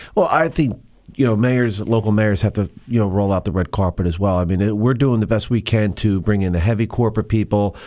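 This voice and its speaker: On a very clean recording with a silent background, a man with a New Jersey accent and a dark, mellow tone speaks fairly low at a fairly quick pace, with very even loudness and ordinary pitch variation. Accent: New Jersey American. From New Jersey, Monmouth County. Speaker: state legislator, former police officer. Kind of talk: radio interview.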